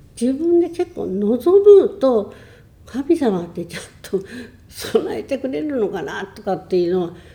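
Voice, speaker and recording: At a fairly slow pace, a woman with a high-pitched yet dark, mellow tone makes very wide pitch swings and big swings in loudness. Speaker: churchgoer sharing faith story. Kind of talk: testimony.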